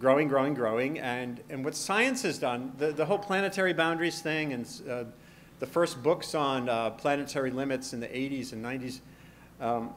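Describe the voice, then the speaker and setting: Audible room echo surrounds a man with an American accent. His fairly high voice keeps a moderate pace with ordinary pitch variation. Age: 50s. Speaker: science journalist and author. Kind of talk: conference lecture. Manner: halting with frequent repetitions.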